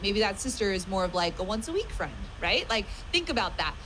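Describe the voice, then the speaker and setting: A woman with an American accent talks at a fairly quick pace in a passionate tone and a fairly high pitch. Room echo is audible, and background noise is noticeable. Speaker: online business coach. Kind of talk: live stream training talk. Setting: live stream. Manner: fast; loud, passionate.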